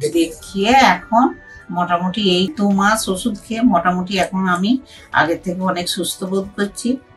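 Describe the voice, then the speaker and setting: Over music in the background, a woman speaks at medium pitch with ordinary pitch variation. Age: 60s. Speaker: patient. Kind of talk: patient testimonial interview answer.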